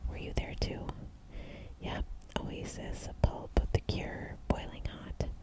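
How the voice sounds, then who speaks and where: Someone is whispering at a very slow pace. Noticeable background noise sits behind the voice. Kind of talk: audiobook-style whispered reading of a thriller novel. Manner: whispered, soft-spoken.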